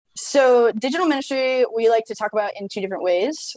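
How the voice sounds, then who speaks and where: Recorded dry and close with no echo against a quiet background, a woman talks with lively intonation. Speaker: ministry tech presenter. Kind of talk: webinar presentation. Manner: fast; animated.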